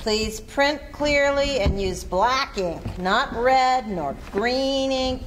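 A woman's high-pitched, put-on character voice at a very slow pace, with lively intonation and clear background noise.

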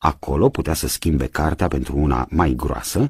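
A man speaks with vocal fry. His pitch is very deep and low, and the sound is dry with no echo. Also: quiet background. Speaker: radio theatre reader. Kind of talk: audiobook narration of a novel. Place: studio.

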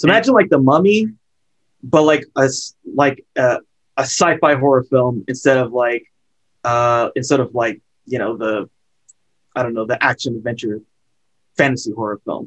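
A man with an American accent speaks at a moderate pace with ordinary pitch variation. He takes long, frequent pauses against a quiet background. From California. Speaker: horror film podcaster. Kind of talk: casual chat. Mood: relaxed, enthusiastic. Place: home room. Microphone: webcam.

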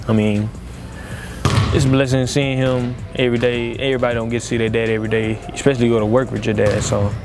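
A man talks at a very fast pace in a flat monotone. Clear music plays in the background, and the sound is dry with no echo. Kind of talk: interview answer. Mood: warm, reflective about his father. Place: hall.

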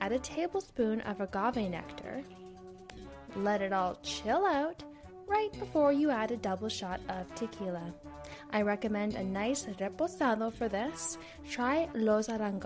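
A woman's fairly high-pitched voice, with music in the background. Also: lively intonation, fairly slow pace. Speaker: podcast host. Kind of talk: casual comedic podcast narration.

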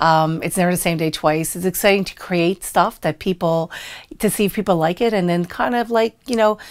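Speech comes at a fairly quick pace with ordinary pitch variation over a quiet background. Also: woman, fairly low pitch for a woman. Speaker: restaurant owner. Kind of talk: interview answer. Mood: warm, friendly, smiling at times. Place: studio.

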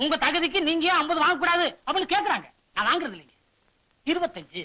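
Putting on a character voice, a man talks fast at an extremely high pitch, with big pitch swings and a bright, sharp tone.

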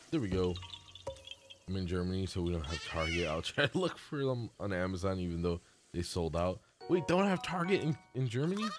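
Music plays in the background as a man with a very deep, low pitch speaks at a fairly quick pace with lively intonation. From Puerto Rico. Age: 20s. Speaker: gaming streamer. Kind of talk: casual live-stream gameplay commentary.

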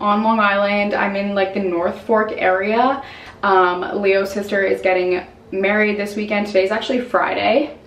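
Audible room echo surrounds the voice. It belongs to a woman. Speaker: vlogger. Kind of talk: casual vlog chat. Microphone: phone near.

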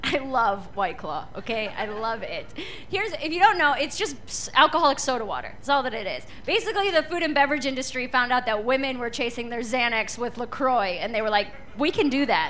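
A woman's high voice at a fairly quick pace, with very wide pitch swings and light background noise. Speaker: stand-up comedian. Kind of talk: stand-up comedy routine. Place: stage. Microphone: handheld.

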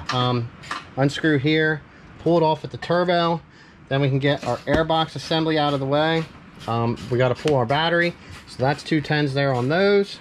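Spoken at a moderate pace, the voice comes with light background noise. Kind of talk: tutorial. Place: garage. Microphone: phone near.

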